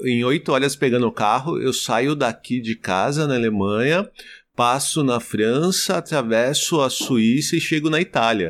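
In an unremarkable speaking voice, a man speaks at a fairly slow pace with medium pitch, very even loudness and ordinary pitch variation, on a very clean recording with a silent background. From Brazil, Osasco (São Paulo). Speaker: travel podcaster. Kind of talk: casual chat.

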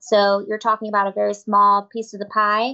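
A woman speaks with an American accent at a moderate pace. Her pitch is medium, and the background is quiet. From Tampa, Florida. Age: 30s. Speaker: prosecutor and judicial candidate. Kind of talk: interview, campaign talk. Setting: studio.

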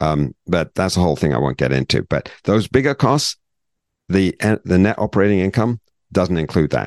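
A man's very deep, low voice with vocal fry and a British accent, very wide pitch swings at a moderate pace, and a dry, close sound with no echo against a quiet background. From Britain. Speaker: financial advisor, podcast host. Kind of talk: educational podcast chat.

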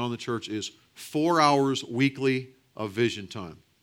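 On a very clean recording with a silent background, a man speaks in a plain, everyday voice, fairly high in pitch with ordinary pitch variation. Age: 40s. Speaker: pastor and church planting coach. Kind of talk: conference breakout talk. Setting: conference breakout room with audience.

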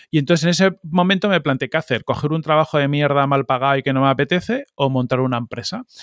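Very fast talk with hardly any pauses, in a very clean recording with a silent background and a dry, close sound free of echo. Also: man, fairly high pitch for a man, ordinary pitch variation. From Spain, Catalonia then Madrid. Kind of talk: interview.

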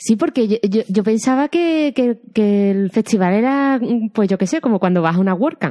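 A woman's fairly high voice with a dark, mellow tone, lively intonation and a moderate pace, very even in loudness, in a dry, close sound with no echo against a quiet background. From Andalusia. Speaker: film podcast host. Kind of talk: casual chat.

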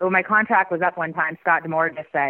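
Here is an unremarkable speaking voice from a woman with a Canadian accent. Her pitch is fairly low, with ordinary variation. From Canada. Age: 40s. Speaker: former pro wrestler. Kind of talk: interview.

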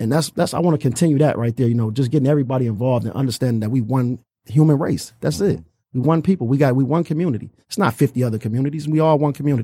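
A man talks at a very fast pace in a somewhat breathy, dark, mellow voice. His pitch is medium, with ordinary variation. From Detroit. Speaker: youth boxing gym founder. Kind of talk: casual interview.

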